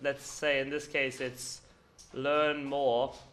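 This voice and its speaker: A man with an Irish accent, heard with audible room echo. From Ireland. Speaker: conference speaker, paid search agency founder. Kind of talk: conference presentation. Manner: casual, filler-heavy.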